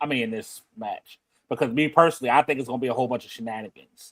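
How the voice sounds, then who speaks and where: The speaker has a Baltimore accent. The pace is very fast. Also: man. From Baltimore, US. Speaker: wrestling podcast host. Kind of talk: casual chat.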